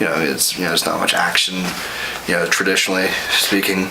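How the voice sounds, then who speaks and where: A man whispering, with noticeable background noise and audible room echo. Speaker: college student, vlog guest. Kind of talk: casual movie review chat. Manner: halting, many repetitions.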